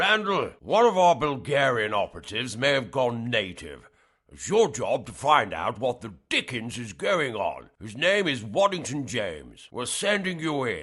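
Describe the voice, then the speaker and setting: Putting on a character voice with very wide pitch swings, a man speaks at a medium pitch and moderate pace with hardly any pauses, over a quiet background. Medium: audio drama. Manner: curt, sarcastic, bossy.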